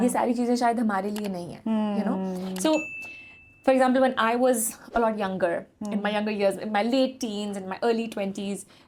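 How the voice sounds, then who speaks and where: Through noticeable background noise, a woman speaks at a moderate pace with a fairly high pitch and fairly even intonation. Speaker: fitness company founder and podcast host. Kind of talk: podcast interview host. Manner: code-switching between English and Urdu.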